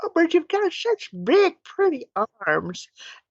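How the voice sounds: This put-on character voice is squeaky and pitched extremely high. It moves along at a fairly slow pace.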